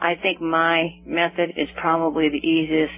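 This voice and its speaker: Over noticeable background noise, a woman speaks at a moderate pace in an American accent. Her fairly low voice stays flat and monotone. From US Northwest (Seattle). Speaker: author, cancer survivor. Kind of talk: interview.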